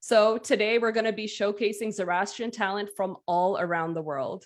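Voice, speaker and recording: A woman's medium-pitched voice with ordinary pitch variation against a quiet background. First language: Gujarati. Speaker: event host. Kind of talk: virtual event hosting. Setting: virtual online concert. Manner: upbeat, enthusiastic.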